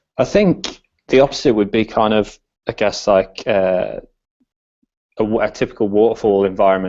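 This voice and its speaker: A man's fairly low voice with an English accent, at a moderate pace. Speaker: design consultant. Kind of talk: podcast interview. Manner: hesitant, many fillers.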